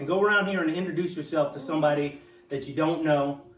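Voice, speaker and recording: Over noticeable background noise, the voice shows ordinary pitch variation. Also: man. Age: 60s. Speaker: speaker at veterans networking event. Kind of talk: informal speech to a gathering. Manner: hesitant, frequent fillers and repetitions.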